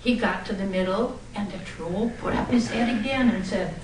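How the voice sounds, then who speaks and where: Over noticeable background noise, a woman speaks in a fairly high voice at a fairly slow pace. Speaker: storyteller; former teacher. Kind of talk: live storytelling speech. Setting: club meeting room. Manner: animated, playful.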